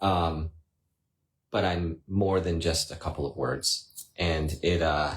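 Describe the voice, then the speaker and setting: Very slowly and at a very even loudness, a somewhat breathy man with an American accent speaks in a very deep, low pitch and a monotone, flat intonation. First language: Spanish. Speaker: husband co-host of family chat stream. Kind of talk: casual chat.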